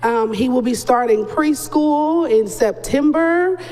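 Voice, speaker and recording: The voice is loud. Noticeable background noise runs underneath it. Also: woman. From North Carolina. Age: 30s. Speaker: mother of a child with a rare disease. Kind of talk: interview.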